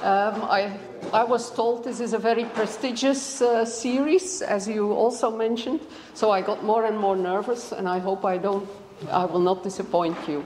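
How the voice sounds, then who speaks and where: With a Dutch accent, a woman talks in a fairly high voice with ordinary pitch variation, over noticeable background noise and audible room echo. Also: moderate pace. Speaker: biology professor. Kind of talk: lecture. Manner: halting, many fillers.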